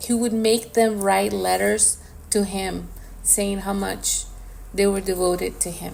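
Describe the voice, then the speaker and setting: Fairly slow speech with audible room echo. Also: woman. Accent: Spanish. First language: Spanish. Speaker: podcast co-host. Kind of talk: casual chat.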